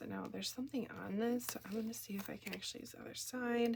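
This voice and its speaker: A woman talks with an American accent and fairly even intonation. Noticeable background noise can be heard. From Minnesota, US. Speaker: card-making crafter, kindergarten teacher. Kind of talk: crafting tutorial. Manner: casual, chatty.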